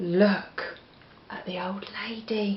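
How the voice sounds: With an English accent, a woman speaks at a slow pace and a medium pitch. Her intonation is fairly even, and audible room echo surrounds her.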